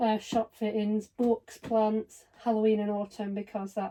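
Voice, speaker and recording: A woman speaks with a British accent at a moderate pace. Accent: British (UK). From northwest England, Blackpool. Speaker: doll collector YouTuber. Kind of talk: casual unboxing vlog.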